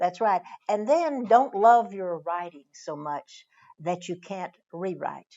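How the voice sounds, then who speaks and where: At a very slow pace, a woman with a Texas accent speaks in a medium pitch with lively intonation and big swings in loudness. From Northeast Texas. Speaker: author. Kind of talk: interview. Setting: library.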